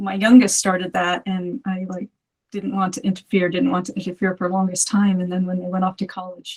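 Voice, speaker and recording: A woman at medium pitch, somewhat breathy, with fairly even intonation and a fairly quick pace. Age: 50s. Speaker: movement practitioner, community member. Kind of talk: casual interview.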